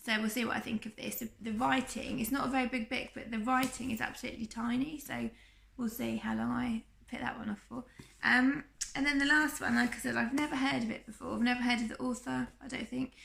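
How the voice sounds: The voice is croaky, with vocal fry and a slightly husky edge over a fairly bright tone. It moves at a fairly quick pace with fairly even intonation. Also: woman, fairly high pitch for a woman.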